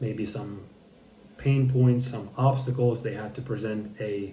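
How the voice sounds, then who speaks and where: Very slow, somewhat breathy speech from a man at a medium pitch, dark and mellow in tone, with fairly even intonation and audible room echo. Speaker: content creator practicing public speaking. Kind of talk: casual vlog monologue. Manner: halting, choppy with many repetitions; hesitant, thinking before speaking.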